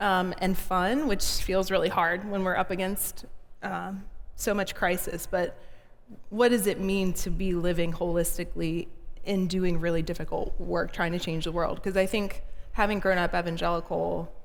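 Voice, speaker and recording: Speaking in an American accent at a moderate pace, a woman keeps a fairly even intonation against audible room echo. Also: medium pitch for a woman. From US South, small-town Georgia. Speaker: minister and advocate. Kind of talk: live interview before an audience. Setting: in-person gathering with audience.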